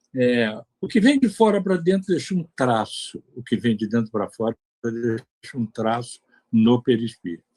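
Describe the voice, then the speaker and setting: At a moderate pace, a man with a dark, mellow tone speaks in very wide pitch swings. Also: dry, close sound with no echo. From Brazil, Bahia (Salvador). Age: 80s+. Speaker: spiritist lecturer, retired engineer. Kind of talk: lecture. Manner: animated, conversational.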